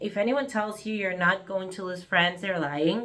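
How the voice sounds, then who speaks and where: A woman with an Argentine accent, medium in pitch, at a moderate pace. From Argentina, Buenos Aires. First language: Spanish. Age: 30s. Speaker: vlogger. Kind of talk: personal vlog monologue. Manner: halting, with fillers and restarts.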